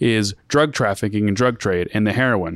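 On a very clean recording with a silent background, a man with an unremarkable speaking voice talks at medium pitch and a moderate pace, the sound dry and close with no echo. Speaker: podcast host. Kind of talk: casual chat.

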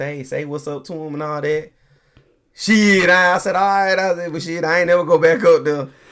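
A man with a strong Southern US accent talks at a fairly quick pace, his pitch varying in an ordinary way. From Tennessee, raised in Colorado. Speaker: father guest. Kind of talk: casual chat.

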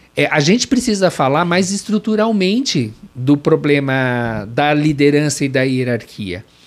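A man speaks at a fairly high pitch and a fairly slow pace. His pitch swings very widely. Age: 50s. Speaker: corporate trainer and consultant. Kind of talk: interview.

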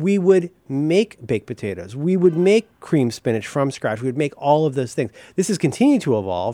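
A man's fairly high, dark, mellow voice with an American accent, very wide pitch swings and hardly any pauses, in a dry, close sound with no echo and a very clean recording with a silent background. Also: moderate pace. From Ohio, US Midwest. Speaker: podcast host. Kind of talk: casual chat. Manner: animated.

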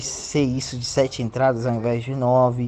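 Moderately paced man, an unremarkable speaking voice at medium pitch. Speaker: sports reporter and interviewer. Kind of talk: casual news segment; interview.

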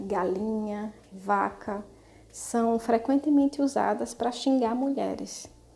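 A woman speaks at a very slow pace in a dark, mellow tone. Her intonation is fairly even. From Brazil, Natal (Rio Grande do Norte). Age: 30s. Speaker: activist and vegan cook. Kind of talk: casual panel discussion.

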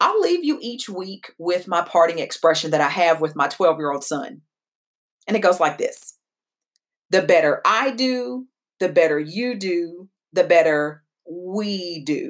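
With an American accent, a woman with a fairly low pitch talks at a fairly slow pace with lively intonation. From Kentucky (Danville). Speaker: podcast host and founder of a tech company. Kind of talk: podcast monologue.

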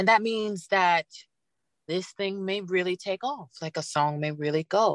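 Using a normal speaking voice, a woman talks at a fairly slow pace with medium pitch and ordinary pitch variation, the sound dry and close with no echo. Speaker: rapper, singer, songwriter and author. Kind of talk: casual interview chat.

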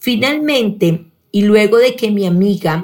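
A woman speaks at a very slow pace with lively intonation. Her voice is somewhat breathy. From Colombia, Pereira. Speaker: sales director. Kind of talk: personal testimony, read from script.

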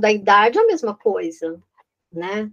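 Her pitch medium, a woman speaks at a very slow pace. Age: 50s. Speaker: real estate consultant. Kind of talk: interview. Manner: halting.

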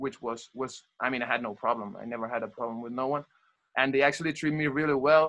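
A man races along at a very fast pace with a medium pitch and ordinary pitch variation. His tone is bright and sharp, and the background is quiet. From Catalonia, Spain (Barcelona). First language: Spanish/Catalan. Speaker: former college soccer player. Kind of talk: casual interview chat. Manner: halting, many fillers.

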